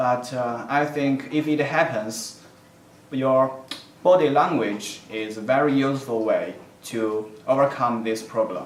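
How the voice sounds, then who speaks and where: A man with a Chinese accent speaks at a fairly slow pace with a medium pitch and ordinary pitch variation. Noticeable background noise and audible room echo fill the recording. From China. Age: young. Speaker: university student applicant. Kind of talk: self-introduction video answering application questions. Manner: halting, with frequent fillers.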